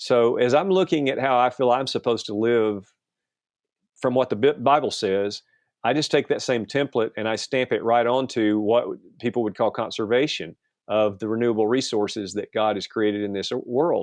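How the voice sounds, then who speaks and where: At a moderate pace, a man with a normal speaking voice and ordinary pitch variation talks against a quiet background, with a dry, close sound and no echo. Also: medium pitch for a man. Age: 60s. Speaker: pastor and outdoor TV producer. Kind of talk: interview conversation.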